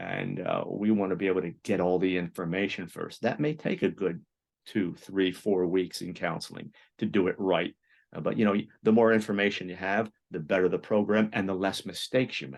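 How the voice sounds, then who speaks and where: A man's very deep, low voice at a fairly quick pace, with ordinary pitch variation against a quiet background. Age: 60s. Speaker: psychologist and therapist. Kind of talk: interview. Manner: halting, many repetitions.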